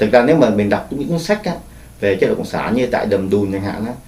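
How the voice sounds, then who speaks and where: A man speaks against noticeable background noise. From Vietnam. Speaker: Vietnamese refugee and former soldier. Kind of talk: oral history interview answer.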